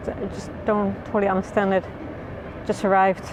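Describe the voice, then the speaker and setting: A woman with a Dutch accent talks at a moderate pace. Music plays in the background. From Netherlands, The Hague. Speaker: travel vlogger. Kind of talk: casual vlog talk to camera. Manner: halting, repeated words.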